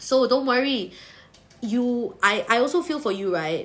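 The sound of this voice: In a Singaporean accent, a woman speaks at a fairly slow pace with lively intonation, a fairly bright tone and a fairly high pitch, with audible room echo.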